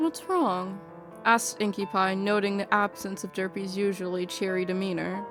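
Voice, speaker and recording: Over music in the background, a woman speaks at a medium pitch. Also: ordinary pitch variation, moderate pace. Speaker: audiobook narrator. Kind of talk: fan fiction audiobook narration. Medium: read story.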